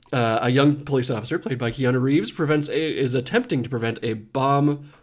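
A man talks fairly quickly at a medium pitch, with ordinary pitch variation and an unremarkable speaking voice. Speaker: podcast host. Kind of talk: casual chat.

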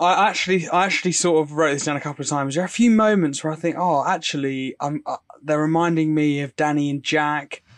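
A man with a British accent speaks very fast, with hardly any pauses and a fairly high pitch. His intonation is fairly even, and the background is quiet. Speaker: podcast co-host. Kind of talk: casual chat.

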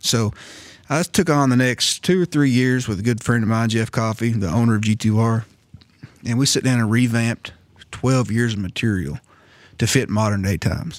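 A man's plain, everyday voice at medium pitch, with ordinary pitch variation, very even loudness and a moderate pace, on a very clean recording with a silent background. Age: 40s. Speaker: first responder podcast host, martial arts instructor. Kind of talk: casual chat.

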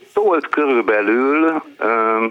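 A man speaks against noticeable background noise. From eastern Hungary. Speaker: book publisher. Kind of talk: call-in chat. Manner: slow.

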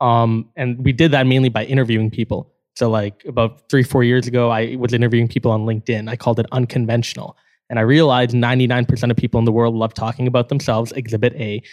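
Speaking at a very fast pace in a Canadian accent, a man keeps a monotone, flat intonation at a medium pitch, recorded dry and close with no echo. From Canada. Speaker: startup co-founder. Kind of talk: casual interview chat.

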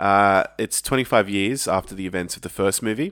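In a very clean recording with a silent background, a man talks in a normal speaking voice, fairly low in pitch, at a moderate pace with ordinary pitch variation. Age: 30s. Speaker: podcast host. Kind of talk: casual chat.

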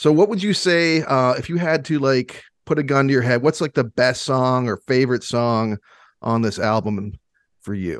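In an American accent, a man with an unremarkable speaking voice talks at a moderate pace and medium pitch with lively intonation, the sound dry and close with no echo. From Michigan. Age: 40s. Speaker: podcast host. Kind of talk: casual chat.

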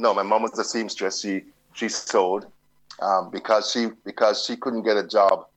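A man speaks at a fairly low pitch and a moderate pace, in monotone, flat intonation. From London, then Jamaica. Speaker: journalist. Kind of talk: interview. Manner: halting, with frequent repetitions.

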